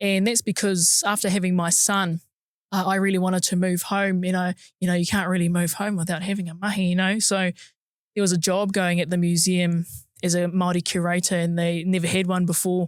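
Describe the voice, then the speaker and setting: A woman speaks at a fairly quick pace and a medium pitch, with monotone, flat intonation. Her loudness stays very even on a very clean recording with a silent background. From New Zealand, Napier, Hawke's Bay. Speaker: museum curator, podcast co-host. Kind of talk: casual chat.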